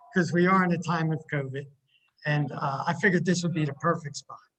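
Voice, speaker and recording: This man has a high-pitched voice. He speaks with an American accent. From Philadelphia area / South Jersey, US. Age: 60s. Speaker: university instrumentation technician. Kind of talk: interview. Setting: video call from campus building.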